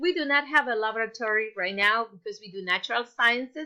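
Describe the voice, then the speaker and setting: Bright, sharp tone and ordinary pitch variation. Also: woman. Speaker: teacher. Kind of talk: lesson for children.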